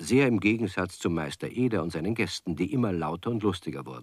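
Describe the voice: A man with a low voice speaks at a moderate pace, his tone fairly bright with a slightly husky edge. His intonation is lively.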